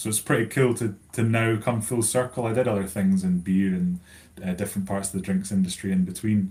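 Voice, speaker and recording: A man with a Scottish accent speaks. His pitch is fairly low and his tone is dark and mellow. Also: fairly quick pace. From Scotland, Stirlingshire near Deanston. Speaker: whisky brand account manager. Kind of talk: live online whisky tasting chat. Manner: casual, many fillers.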